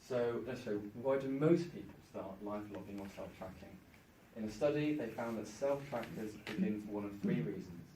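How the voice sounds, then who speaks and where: Somewhat breathy and at a medium pitch, a man speaks at a moderate pace with lively intonation and big swings in loudness, with audible room echo. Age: 20s. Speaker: conference speaker, university student. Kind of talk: conference presentation. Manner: halting with stuttering repetitions.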